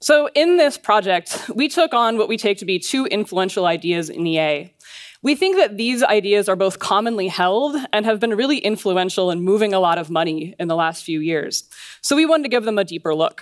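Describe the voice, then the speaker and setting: Against a quiet background, a woman speaks at a fairly quick pace with very wide pitch swings. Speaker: conference speaker. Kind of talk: lecture. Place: stage. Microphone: headset.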